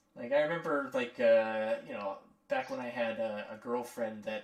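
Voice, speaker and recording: A man keeps a moderate pace against noticeable background noise. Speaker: animator. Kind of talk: casual chat. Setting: live stream. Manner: animated.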